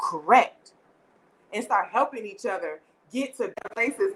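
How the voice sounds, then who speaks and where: Fairly quick and animated, a woman talks in a high pitch. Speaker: livestream talk show host. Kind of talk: casual live chat. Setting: live stream. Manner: loud.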